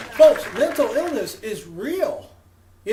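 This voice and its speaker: Audible room echo surrounds a man's voice. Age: 60s. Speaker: comedian. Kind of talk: stand-up.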